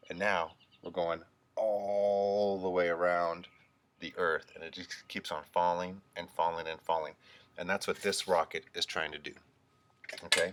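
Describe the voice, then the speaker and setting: A man with a very deep, low voice speaks fairly slowly in a monotone, flat intonation, with long, frequent pauses. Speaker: teacher. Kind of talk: remote lesson for young children.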